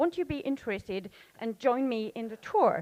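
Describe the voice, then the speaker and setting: A woman with lively intonation in a dry, close sound with no echo. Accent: French. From France. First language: French. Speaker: audience member asking a question. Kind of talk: audience question at panel. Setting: conference session with audience. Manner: halting.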